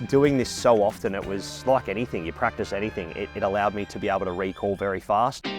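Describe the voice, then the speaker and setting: A fairly low-pitched man with an Australian accent at a fairly quick pace, music in the background. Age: 20s. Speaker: horse racing commentator. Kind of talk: interview answer.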